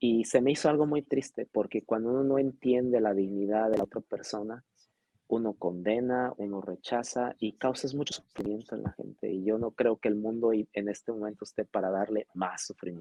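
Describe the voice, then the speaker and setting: In an unremarkable speaking voice, a man with a medium pitch and ordinary pitch variation speaks at a moderate pace. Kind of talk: interview.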